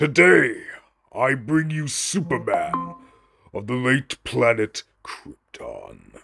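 Using a put-on character voice, a man speaks very slowly at a fairly high pitch. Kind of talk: video game character dialogue. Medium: voice reel. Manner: gloating, theatrical.

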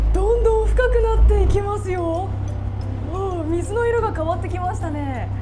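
A woman keeps a moderate pace as noticeable background noise goes on. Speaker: reporter. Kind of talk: travel report to camera. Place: boat. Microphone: lapel.

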